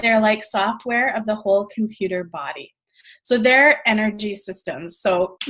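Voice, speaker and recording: A woman talks in a fairly high voice. Her pitch moves in an ordinary way. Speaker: network marketing trainer. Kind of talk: training call presentation. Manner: fast.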